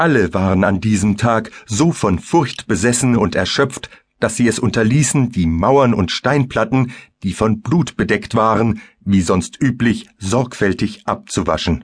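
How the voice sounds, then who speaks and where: A man's ordinary speaking voice, medium in pitch, with ordinary pitch variation, a fairly slow pace and very even loudness. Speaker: audiobook narrator. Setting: studio. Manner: darkly intense, vivid and theatrical, building horror with measured pacing.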